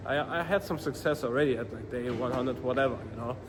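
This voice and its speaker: A man with a non-native accent speaks at a fairly quick pace. His medium pitch shows ordinary variation. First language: not English. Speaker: vlogger, dropshipping entrepreneur. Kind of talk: casual vlog monologue. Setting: outdoors. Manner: halting, many fillers and restarts.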